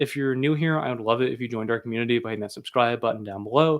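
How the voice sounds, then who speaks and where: A man talks very fast at a medium pitch. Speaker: airsoft YouTuber. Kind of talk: live stream Q&A. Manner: casual, conversational.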